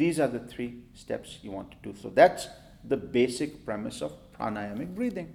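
A medium-pitched man with vocal fry talks at a moderate pace, with very wide pitch swings and big swings in loudness. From India. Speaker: yoga and breathing teacher. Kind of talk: interview.

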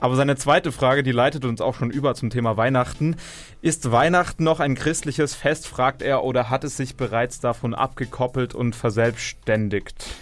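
Music plays behind a man at a medium pitch. He keeps a moderate pace and fairly even intonation. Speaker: campus radio host. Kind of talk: news reading; radio talk show. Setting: studio. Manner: live.

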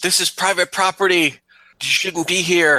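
A put-on character voice is shouting in a monotone, flat delivery. The sound is dry and close, with no echo. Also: man. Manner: screaming, rushing forward.

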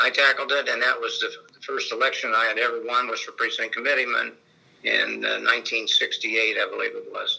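With a Midwestern US accent, a man talks at a moderate pace. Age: 70s. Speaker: retired state legislator. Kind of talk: oral history interview.

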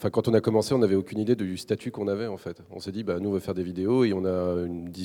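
Against a quiet background, a man talks at a very fast pace in a very deep, low pitch. His tone is dark and mellow, and his intonation stays fairly even. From Brittany, France. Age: 30s. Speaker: video creator and web platform founder. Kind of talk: panel discussion. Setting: stage with audience.

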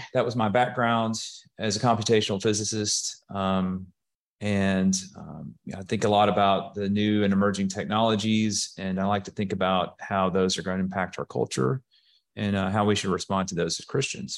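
A man talks at a moderate pace with an Alabama accent and fairly even intonation. His pitch is fairly low, and the background is quiet. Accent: Southern US (Alabama). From US South (Alabama, Birmingham area). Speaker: software executive. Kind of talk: casual interview.

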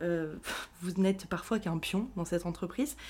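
At a moderate pace and medium pitch, a woman with ordinary pitch variation has a plain, everyday voice. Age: 20s. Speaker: podcast host, mental health professional. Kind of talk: personal monologue podcast. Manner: casual, many fillers. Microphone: new microphone.

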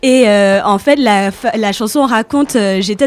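A woman talks at a moderate pace in an unremarkable speaking voice. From Saint Martin, Caribbean. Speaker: guest columnist. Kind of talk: radio segment presentation.

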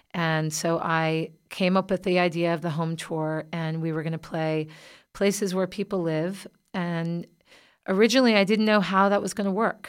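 In a very clean recording with a silent background, a woman with an American accent speaks at a moderate pace in an ordinary speaking voice, her pitch fairly low and her intonation fairly even. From US South. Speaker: singer-songwriter. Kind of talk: interview. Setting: studio.

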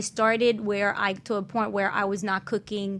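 A woman speaks at a medium pitch and moderate pace in a bright, sharp tone. Her intonation is fairly even, and the recording is very clean with a silent background. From Haiti. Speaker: wellness coach. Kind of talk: panel discussion. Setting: radio studio.

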